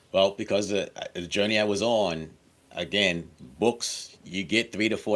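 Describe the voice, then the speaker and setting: A man with a fairly low pitch speaks in a normal speaking voice at a moderate pace, on a very clean recording with a silent background. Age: 60s. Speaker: author and course creator. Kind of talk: interview.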